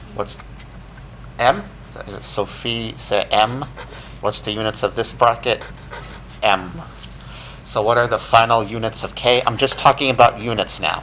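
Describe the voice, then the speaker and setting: A man talks at a moderate pace, leaving long, frequent pauses, while noticeable background noise continues. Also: medium pitch for a man. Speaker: chemistry professor. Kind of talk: lecture.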